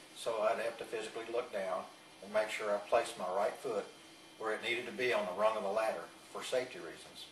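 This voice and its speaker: Speaking with a Texan accent, a man talks at a very fast pace. Audible room echo and noticeable background noise are present. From Texas, Fort Worth. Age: 60s. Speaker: patient. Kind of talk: testimony. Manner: halting.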